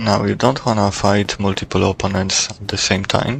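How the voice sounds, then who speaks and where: Over noticeable background noise, a man with a non-native accent speaks at a moderate pace and a fairly low pitch. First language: not English. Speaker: gaming YouTuber. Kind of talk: gameplay tutorial commentary.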